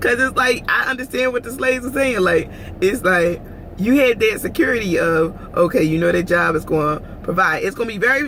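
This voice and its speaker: Amid noticeable background noise, a woman speaks at a fairly quick pace in an animated tone with very wide pitch swings. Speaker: vlogger. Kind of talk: casual vlog monologue.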